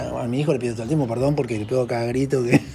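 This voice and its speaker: A man's medium-pitched voice carries through audible room echo and noticeable background noise. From Argentina. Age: 50s. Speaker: social worker and former priest. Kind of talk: interview. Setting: at his home. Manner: halting.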